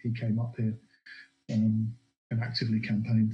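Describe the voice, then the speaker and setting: Somewhat breathy and dark, mellow in tone, a man speaks at a fairly quick pace in a monotone, flat intonation. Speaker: political commentator guest. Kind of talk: analytical political discussion.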